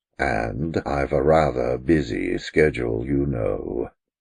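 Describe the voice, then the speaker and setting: Putting on a character voice, a man speaks very deep and low at a fairly slow pace with fairly even intonation. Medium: read story. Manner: stately, dry.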